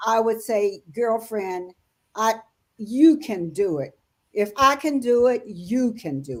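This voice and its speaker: A woman at a fairly high pitch, very slow in pace, with lively intonation and big swings in loudness. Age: 80s+. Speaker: author. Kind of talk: interview answer. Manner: warm, encouraging.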